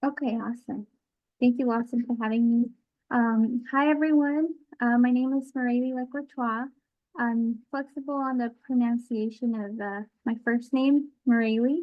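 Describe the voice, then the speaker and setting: Speaking at a moderate pace, a woman with a high pitch keeps her intonation fairly even. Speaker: water resources engineer. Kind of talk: presentation to students. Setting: college campus, recorded talk.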